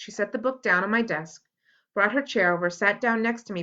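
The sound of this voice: The voice is an unforced reading voice with ordinary pitch variation. The background is quiet.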